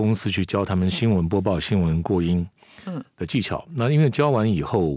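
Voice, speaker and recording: A man speaks at a moderate pace with a dark, mellow tone and very wide pitch swings. The recording is very clean, with a silent background. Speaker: commercial voice actor, former news anchor. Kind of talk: casual interview.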